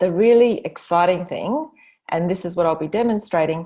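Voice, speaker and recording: Against a quiet background, a woman speaks at medium pitch with ordinary pitch variation in a plain, everyday voice. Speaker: business consultant presenting her methodology. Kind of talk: online presentation.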